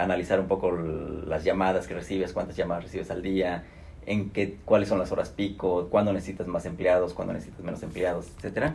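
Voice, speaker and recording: Amid audible room echo, a man with a Mexican accent and a very deep, low pitch talks at a fairly quick pace. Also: fairly even intonation. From Mexico (Guadalajara). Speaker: human resources executive. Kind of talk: interview.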